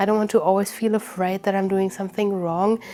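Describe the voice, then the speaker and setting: A woman with a German accent and fairly even intonation, against noticeable background noise. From Germany. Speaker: witchcraft YouTuber. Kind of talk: casual chat.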